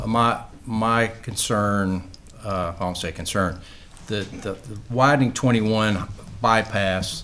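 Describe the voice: A man at a fairly low pitch and slow pace, fairly bright in tone, with ordinary pitch variation and long, frequent pauses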